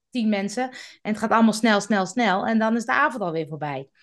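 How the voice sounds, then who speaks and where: Lively intonation comes through at a fairly quick pace. The background is quiet. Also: woman. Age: 50s. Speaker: podcast expert. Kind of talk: casual interview.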